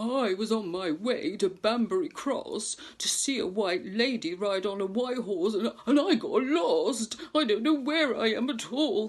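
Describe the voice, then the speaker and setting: Someone does a put-on character voice at fairly high pitch. The pace is moderate, with hardly any pauses. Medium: read story.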